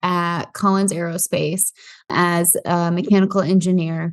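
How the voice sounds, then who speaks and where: A woman in a Midwestern American accent speaks at a fairly slow pace and medium pitch. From US Midwest, Iowa. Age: 20s. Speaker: real estate investor. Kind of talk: podcast interview.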